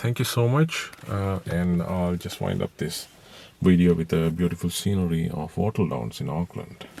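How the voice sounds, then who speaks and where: This man talks at a fairly slow pace in a very deep, low voice. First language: not English. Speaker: private car seller. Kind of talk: informal video walkthrough. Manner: halting, many fillers.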